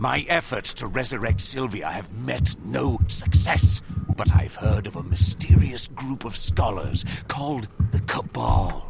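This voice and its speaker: A man's put-on character voice, fairly low in pitch and at a fairly slow pace, over loud background noise. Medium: video game. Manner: solemn, archaic phrasing.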